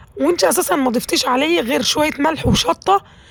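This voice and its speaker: A woman with very wide pitch swings amid noticeable background noise. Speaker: cooking channel host. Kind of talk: cooking tutorial. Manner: chatty, conversational.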